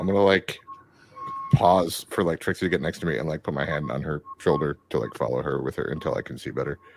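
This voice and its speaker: The speech moves at a very fast pace with ordinary pitch variation. Noticeable background noise is present. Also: man, very deep, low pitch for a man. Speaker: tabletop RPG player. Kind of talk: casual banter while playing a tabletop RPG.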